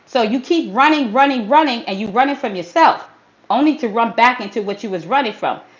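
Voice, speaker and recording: An animated voice with lively, bouncing intonation. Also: woman, high pitch for a woman, fairly quick pace. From US Northeast, Brooklyn, New York. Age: 50s. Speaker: fitness trainer. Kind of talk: motivational livestream talk. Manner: casual street slang.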